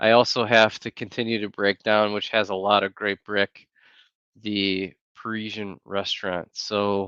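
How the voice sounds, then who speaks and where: Soft-spoken and very slow, a man with an American accent delivers flat, monotone lines in a bright, sharp tone, the sound dry and close with no echo against a quiet background. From Wisconsin, US Midwest (Green Bay). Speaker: YouTuber. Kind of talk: casual livestream chat. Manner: softly spoken.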